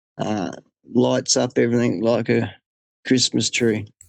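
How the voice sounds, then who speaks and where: A medium-pitched man with an Australian accent at a fairly slow pace. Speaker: hunter. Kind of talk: interview storytelling.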